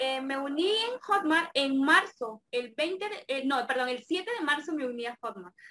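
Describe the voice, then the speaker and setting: In a raised, projected voice, a woman speaks at a high pitch with a bright, sharp tone, very wide pitch swings, and a fairly slow pace. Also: hardly any pauses. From Mexico, Campeche. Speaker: affiliate marketer. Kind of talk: interview.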